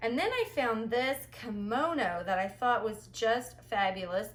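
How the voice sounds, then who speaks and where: With an animated tone, a woman speaks at a medium pitch with ordinary pitch variation. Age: 40s. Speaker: thrift reseller vlogger. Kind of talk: haul video monologue.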